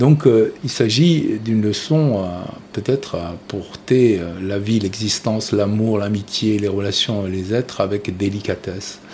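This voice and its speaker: Noticeable background noise sits behind a man speaking at a very slow pace. His pitch is fairly low, with ordinary pitch variation. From Tunisia (Carthage, near Tunis). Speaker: artist. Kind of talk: interview. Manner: hesitant, many fillers.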